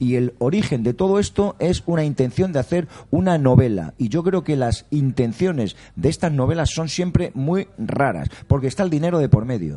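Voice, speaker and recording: A man speaks in a fairly high pitch with lively intonation at a moderate pace. His is a plain, everyday voice. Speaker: sports journalist. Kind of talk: round-table debate. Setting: restaurant.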